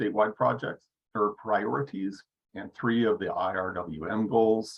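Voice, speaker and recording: A man's voice with a fairly low pitch. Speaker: water agency project presenter. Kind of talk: project presentation in online meeting. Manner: fast.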